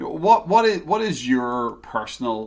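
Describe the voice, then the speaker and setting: A man with an Irish accent at a fairly quick pace. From Ireland. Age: 40s. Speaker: podcast host. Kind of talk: interview.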